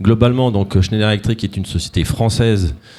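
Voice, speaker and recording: A man with a dark, mellow tone and fairly low pitch speaks at a moderate pace on a very clean recording with a silent background. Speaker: corporate executive. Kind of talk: conference presentation. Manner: hesitant, many fillers.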